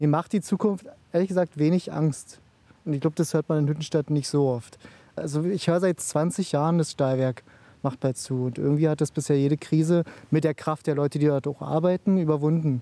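Fairly quick and fairly high-pitched, a man speaks with fairly even intonation and a dark, mellow tone in a dry, close recording with no echo. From Eisenhüttenstadt, eastern Germany. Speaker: local resident. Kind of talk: interview.

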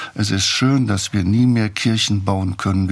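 A man talks fairly slowly in a somewhat breathy voice, his pitch varying in an ordinary way. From Saarland, Germany. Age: 80s+. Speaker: theologian and author. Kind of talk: interview.

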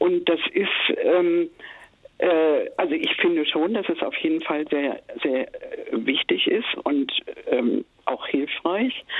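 A woman speaks at a very slow pace, leaving long, frequent pauses. Her loudness stays very even over noticeable background noise. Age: 70s. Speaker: caller. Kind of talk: personal testimony. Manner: halting.

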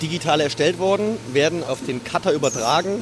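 A man keeps to a moderate pace while noticeable background noise carries on behind him. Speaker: company co-owner. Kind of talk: interview. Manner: matter-of-fact.

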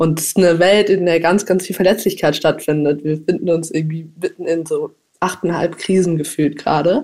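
Her tone dark and mellow, a woman speaks at a fairly quick pace with fairly even intonation. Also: fairly low pitch for a woman. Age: 20s. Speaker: climate activist and student. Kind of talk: interview answers.

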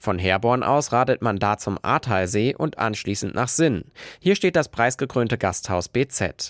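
Using a normal speaking voice, a man at medium pitch talks at a fairly slow pace with lively intonation, his sound dry and close with no echo on a very clean recording with a silent background. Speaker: radio reporter. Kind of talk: news reading. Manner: clear, even, informative.

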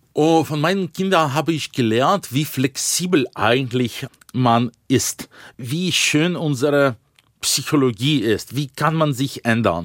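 Speaking at a very slow pace, a man uses a Russian accent with lively intonation and a fairly high pitch. The sound is dry and close with no echo. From Russia, Yekaterinburg. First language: Russian (speaking German). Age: 40s. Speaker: Russian opposition politician and author. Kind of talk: interview.

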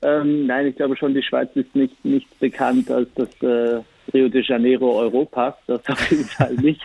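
A man at a fairly slow pace, monotone with flat intonation. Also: medium pitch for a man. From Switzerland. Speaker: cabaret artist and poetry slammer. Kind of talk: interview.

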